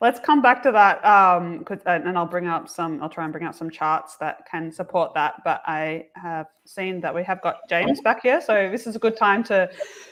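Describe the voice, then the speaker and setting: With an Australian accent, a woman talks at a moderate pace and medium pitch, her intonation lively, hardly any pauses, over a quiet background. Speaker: engineering livestream host. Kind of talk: casual chat.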